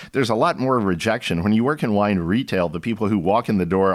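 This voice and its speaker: A man with an American accent, in an ordinary speaking voice, fairly low in pitch, with ordinary pitch variation. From Texas, Austin. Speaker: winemaker. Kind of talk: interview conversation.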